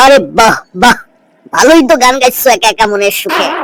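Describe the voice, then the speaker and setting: At a moderate pace, a man performs a cartoonish character voice at an extremely high pitch. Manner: sly, cheeky.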